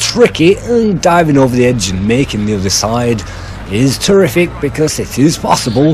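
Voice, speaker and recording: A man talks at a moderate speed, his intonation lively, while music plays in the background. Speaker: game reviewer. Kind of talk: video game review narration. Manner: loud.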